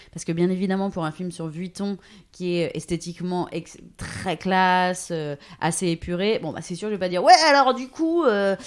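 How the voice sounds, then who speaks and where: With a very clean recording and silent background, a woman with an ordinary speaking voice talks at a moderate pace at medium pitch, showing ordinary pitch variation and big swings in loudness. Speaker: voice-over artist and radio/TV journalist. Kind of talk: interview answer. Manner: casual, conversational.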